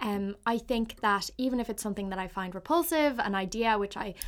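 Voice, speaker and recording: In a very clean recording with a silent background, a woman with a Dublin accent speaks at a fairly quick pace with ordinary pitch variation. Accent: Irish (Dublin). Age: 20s. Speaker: podcaster. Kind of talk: solo monologue. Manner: hesitant, many fillers.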